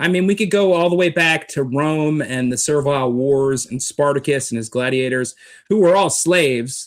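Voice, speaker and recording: With an ordinary speaking voice, a man talks at a moderate pace and fairly high pitch with ordinary pitch variation, on a very clean recording with a silent background. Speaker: street preacher. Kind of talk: interview answer, political commentary.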